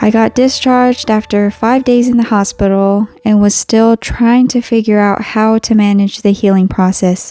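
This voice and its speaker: Using an ordinary speaking voice, a woman talks at a fairly slow pace, medium in pitch, with fairly even intonation. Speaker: artist and stroke survivor. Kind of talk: personal storytelling narration.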